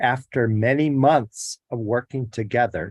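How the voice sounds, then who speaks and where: A man's plain, everyday voice at medium pitch, fairly slow in pace with ordinary pitch variation, in a dry, close sound with no echo. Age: 60s. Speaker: public hearing witness. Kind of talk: testimony. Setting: virtual hearing. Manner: reading prepared statement.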